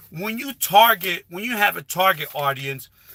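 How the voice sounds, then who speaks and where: Projecting his voice, a man speaks fairly slowly in a high pitch with a bright, sharp tone. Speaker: YouTuber giving channel growth advice. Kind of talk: live stream talk. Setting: live stream with headset. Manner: animated.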